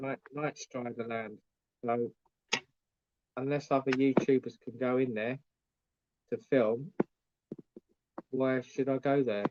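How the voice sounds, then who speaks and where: A man with an English accent speaks at a fairly slow pace and medium pitch, in monotone, flat intonation. Long, frequent pauses come through a dry, close sound with no echo. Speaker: YouTuber vlogger. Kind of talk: live stream chat.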